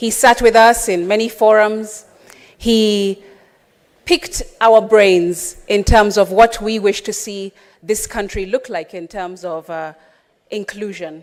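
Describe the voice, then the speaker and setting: A woman speaks very slowly in a fairly high voice, her loudness swinging widely. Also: ordinary pitch variation. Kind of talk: parliamentary speech. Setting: parliament chamber. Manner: formal.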